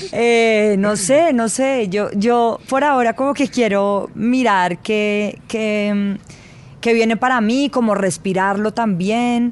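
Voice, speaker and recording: A woman with a fairly high pitch, ordinary pitch variation, very even loudness and a very slow pace. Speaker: journalist. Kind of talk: interview.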